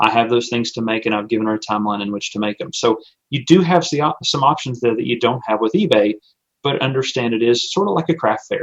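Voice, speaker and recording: A man with a medium pitch and ordinary pitch variation keeps to a fairly quick pace. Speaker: small business owner and online seller. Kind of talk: webinar presentation. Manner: fast.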